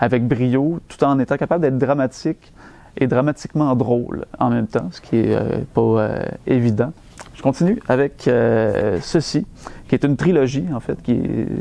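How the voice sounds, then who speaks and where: A man with a Quebec accent speaks at a fairly slow pace, his loudness swinging widely. His pitch is medium with ordinary variation. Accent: Québécois French. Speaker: bookseller. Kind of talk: book recommendation talk. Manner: hesitant, conversational.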